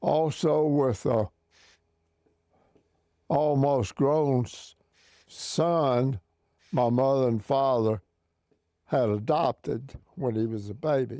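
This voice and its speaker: A man's very slow speech with long, frequent pauses, medium pitch, ordinary pitch variation, and a dark, mellow tone. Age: 80s+. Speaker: navy veteran. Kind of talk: interview answer.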